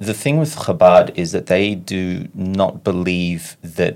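In an Australian accent, a man speaks with a very deep, low pitch and ordinary pitch variation. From Sydney, Australia. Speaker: activist, former ultra-Orthodox member. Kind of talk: interview.

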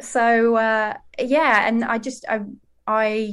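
With a British accent, the speaker keeps the intonation fairly even. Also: woman. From UK. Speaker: comedian. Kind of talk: casual chat.

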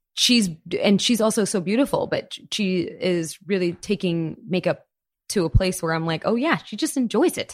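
A woman with an American accent speaks at a moderate pace in an ordinary speaking voice with lively intonation, on a very clean recording with a silent background. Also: medium pitch for a woman. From Florida, US. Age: 30s. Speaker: chef and storyteller. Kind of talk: casual interview.

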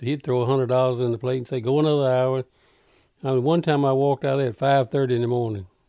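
A man's medium-pitched voice with a dark, mellow tone, fairly even intonation and a Mississippi accent, in a very clean recording with a silent background. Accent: Mississippi Southern drawl. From US South, Carroll County, Mississippi. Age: 80s+. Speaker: rockabilly and country singer, band leader. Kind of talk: casual interview, reminiscing.

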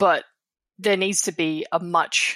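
A woman speaks with an Australian accent and fairly even intonation. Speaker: tech journalist. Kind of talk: casual chat. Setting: remote recording.

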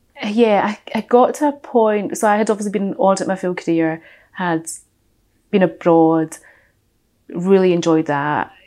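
With a Glaswegian accent, a woman speaks at a moderate pace, her medium pitch carrying a dark, mellow tone. Her intonation is lively, broken by long, frequent pauses. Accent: Glaswegian Scottish. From west coast of Scotland, Glasgow. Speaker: audit and finance professional. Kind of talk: casual interview. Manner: opinionated, strong-minded.

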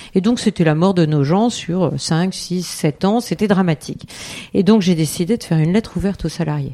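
This woman has a fairly low pitch, talking at a moderate pace with ordinary pitch variation. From France, Eure-et-Loir. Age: 50s. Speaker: member of parliament. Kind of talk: interview. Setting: constituency office. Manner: halting, many fillers and repetitions.

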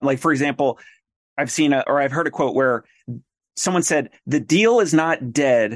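A man at a moderate pace, fairly high pitch, an unremarkable speaking voice, ordinary pitch variation and very even loudness, in dry, close sound with no echo. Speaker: podcast host and practice owner. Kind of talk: interview.

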